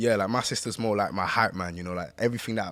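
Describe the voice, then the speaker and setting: Talking very fast with a London accent and a fairly low pitch, a man is heard through noticeable background noise. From East London, England. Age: 20s. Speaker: rapper and singer. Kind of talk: casual chat.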